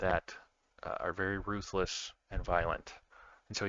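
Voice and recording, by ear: This is reading aloud in a natural voice. The delivery is read rather than spoken off the cuff.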